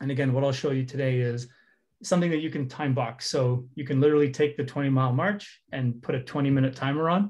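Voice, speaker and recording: Over a quiet background, a man talks at a very fast pace with a fairly high pitch, fairly even intonation, and a somewhat breathy quality. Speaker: head of product giving a workshop. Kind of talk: interactive online workshop.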